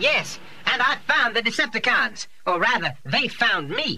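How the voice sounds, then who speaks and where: A put-on character voice, fairly high in pitch, at a moderate pace over clear background noise. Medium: audio drama.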